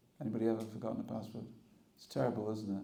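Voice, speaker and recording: Room echo is audible as a man talks in a dark, mellow tone. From England. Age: 60s. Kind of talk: spiritual talk. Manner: conversational, humorous.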